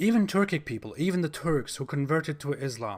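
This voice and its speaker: The speaker has a German accent. The intonation is lively and the pace fairly quick. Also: man, very clean recording, silent background. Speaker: YouTuber, religion critic. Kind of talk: monologue commentary video.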